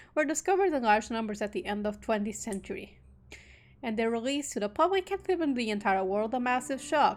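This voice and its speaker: Music plays behind a woman who speaks at a fairly quick pace with a fairly high pitch and very wide pitch swings. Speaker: VTuber streamer. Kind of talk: reading visual novel text aloud.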